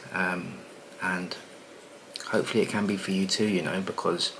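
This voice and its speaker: This man's pitch is very deep and low, and his intonation stays flat and monotone. He speaks quietly at a fairly quick pace. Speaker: property business coach and content creator. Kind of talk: casual vlog monologue. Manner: talking quietly; relaxed, many filler words.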